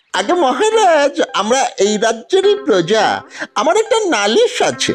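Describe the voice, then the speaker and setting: In a high-pitched cartoonish character voice, the speaker moves at a fairly slow pace with very wide pitch swings. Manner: whiny, insistent.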